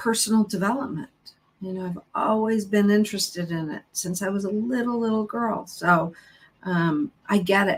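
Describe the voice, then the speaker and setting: A plain, everyday voice moves at a moderate pace, its pitch varying in an ordinary way. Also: woman, medium pitch for a woman. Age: 50s. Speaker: psychotherapist. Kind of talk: interview.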